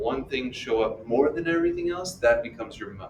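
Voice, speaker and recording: Audible room echo around a man's speech, its pitch varying in an ordinary way. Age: 60s. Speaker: math teacher. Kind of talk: lecture. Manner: animated.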